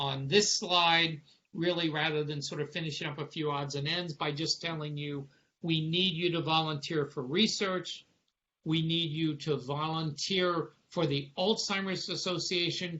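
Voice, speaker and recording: Speaking at a fairly slow pace, a man uses a plain, everyday voice pitched fairly high, with fairly even intonation. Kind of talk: lecture. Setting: video call.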